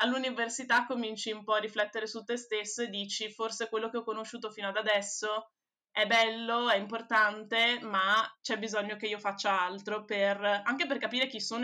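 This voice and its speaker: A woman's fairly high pitch, bright and sharp in tone, monotone and flat, at a fairly quick pace. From Venice, Italy. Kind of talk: casual interview chat.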